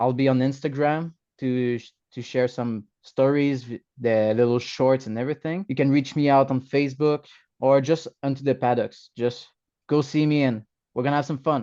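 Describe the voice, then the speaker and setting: Using a French-Canadian accent, a man of medium pitch speaks in a dark, mellow tone with fairly even intonation at a moderate pace. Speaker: motorcycle racer. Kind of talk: interview. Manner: halting.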